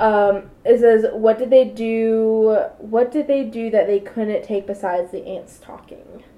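A woman speaks at a fairly slow pace with hardly any pauses, in a dark, mellow tone. Her intonation is fairly even, but her loudness swings widely. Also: fairly high pitch for a woman. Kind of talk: casual chat. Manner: halting, stumbles over words.

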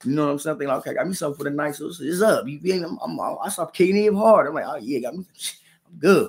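A man's high, very fast delivery, with lively intonation and big swings in loudness. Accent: American. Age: 30s. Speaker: podcast host. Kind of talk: casual storytelling monologue. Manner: animated.

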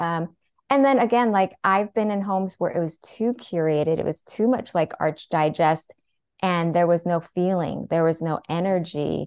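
Using a plain, everyday voice, a woman with an American accent speaks at a fairly low pitch with ordinary pitch variation. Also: moderate pace. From US Pacific Northwest (Seattle). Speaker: therapist turned interior designer and author. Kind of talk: podcast interview.

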